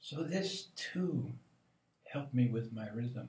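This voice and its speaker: Speaking at a very slow pace, a man's somewhat breathy voice makes very wide pitch swings. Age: 70s. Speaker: meditation teacher. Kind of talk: spiritual reflection monologue.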